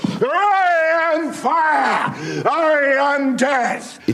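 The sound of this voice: A put-on character voice with a high pitch comes through over clear background noise.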